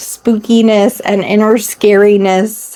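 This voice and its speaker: A loud woman's voice with a dark, mellow tone. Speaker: YouTube channel co-host. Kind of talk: casual chat. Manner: animated.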